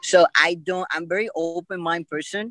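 Over music in the background, someone with a Puerto Rican accent talks at a fairly slow pace, the sound dry and close with no echo. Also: man. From Puerto Rico. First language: Spanish. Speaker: podcast guest. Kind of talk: interview.

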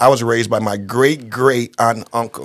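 A man's medium-pitched voice moves at a moderate pace, its intonation fairly even. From Toledo, Ohio. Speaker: educator. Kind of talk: casual chat.

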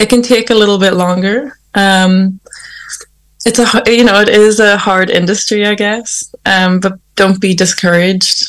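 A woman with a Northern Irish accent, medium pitch, fairly even intonation and a fairly slow pace. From Northern Ireland. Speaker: singer-songwriter. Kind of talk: interview. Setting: remote call.

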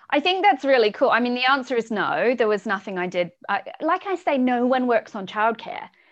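Over noticeable background noise, a woman with a New Zealand accent talks at a fairly quick pace with hardly any pauses, her high pitch making very wide swings. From New Zealand, rural South Island. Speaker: startup founder and CEO. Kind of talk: interview.

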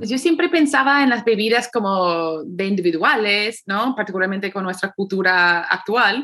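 With a bright, sharp tone and a medium pitch, a woman talks at a moderate pace, her intonation lively and her speech having hardly any pauses. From United States. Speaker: podcast host. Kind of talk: casual chat.

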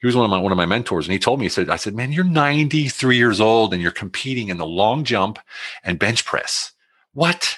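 Over a quiet background, a man with an ordinary speaking voice talks at a fairly quick pace and medium pitch, with lively intonation. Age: 50s. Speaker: author and military veteran. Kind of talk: interview conversation. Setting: video call.

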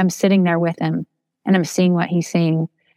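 A woman's fairly low voice with a Midwestern American accent, dry and close with no echo. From Toledo, Ohio. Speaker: writer and educator. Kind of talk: interview.

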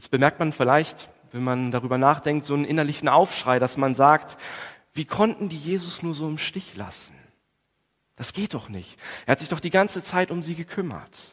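Speaking at a moderate pace with long, frequent pauses, a man with a fairly high pitch shows ordinary pitch variation. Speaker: preacher. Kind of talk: Good Friday sermon in church, calm and explanatory, with prayer. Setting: church. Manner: measured, earnest, formal preaching delivery with some hesitation fillers.

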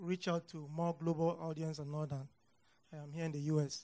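A man with a Nigerian accent speaks in a fairly high pitch with a dark, mellow tone and monotone, flat intonation. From Nigeria, north central. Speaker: pharmacist and graduate student guest. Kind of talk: testimony interview before audience.

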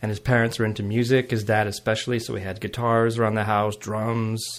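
With a Montreal accent, a man talks at a moderate pace. His pitch sits in the medium range. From Montreal West Island, Quebec. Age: 40s. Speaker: jazz blues guitarist. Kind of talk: casual chat.

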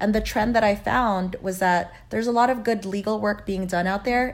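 In a Californian accent, a woman speaks at a moderate pace and medium pitch with monotone, flat intonation. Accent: Californian American English. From Los Angeles, raised by Filipino immigrant parents. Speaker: criminal defense lawyer. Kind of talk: interview.

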